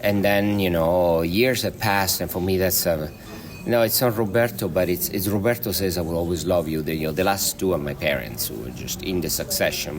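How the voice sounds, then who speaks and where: A man with a very deep, low pitch and a slight Italian accent, speaking at a fairly quick pace with lively intonation, music in the background. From Italy, Marche region. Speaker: film director. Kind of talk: interview. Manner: halting, many fillers.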